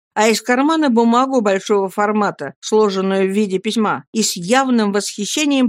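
Pitch moves in an ordinary way through an unforced reading voice.

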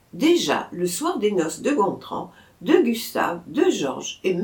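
Here is a natural reading voice. The text comes out without strain.

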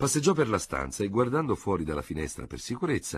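Reading done in a natural voice.

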